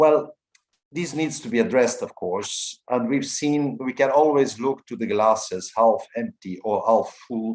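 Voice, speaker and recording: Lively intonation from a man at medium pitch and a fairly slow pace. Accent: Portuguese. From Portugal. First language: Portuguese. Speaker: EU policy official. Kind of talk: formal address at online symposium. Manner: hesitant, with fillers.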